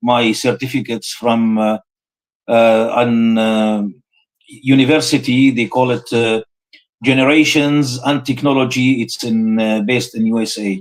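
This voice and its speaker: Speaking with an Arabic accent, a man uses a medium pitch and fairly even intonation. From Syria, Homs. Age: 60s. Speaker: Islamic scholar, professor. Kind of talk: live interview. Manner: halting, many fillers.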